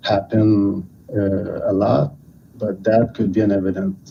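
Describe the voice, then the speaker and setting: A man speaks in a Quebec accent at a very slow pace. His voice is fairly low in pitch, with a dark, mellow tone. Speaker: caller. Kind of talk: call-in to livestream. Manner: halting. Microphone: hears own echo.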